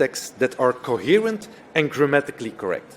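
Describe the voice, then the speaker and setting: A man with a non-native accent speaks at a moderate pace, his pitch swinging very widely. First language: not English. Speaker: nursing professor. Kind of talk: conference talk.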